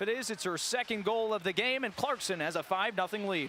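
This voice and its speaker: A man's high-pitched, raised, projected voice amid noticeable background noise. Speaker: sports broadcaster. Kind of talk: hockey play-by-play.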